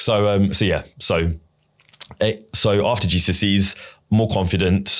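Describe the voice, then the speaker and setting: A man with a British accent speaks at a fairly low pitch and a fairly slow pace, with long, frequent pauses. His intonation is monotone and flat, and his loudness stays very even. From England. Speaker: ADHD advocate. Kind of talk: casual chat. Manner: halting, repeats words.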